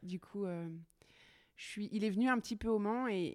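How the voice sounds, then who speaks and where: A woman of medium pitch is heard with a dry, close sound and no echo. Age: 30s. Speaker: welder and furniture maker. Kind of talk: casual interview chat. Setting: her workshop. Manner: upbeat, energetic.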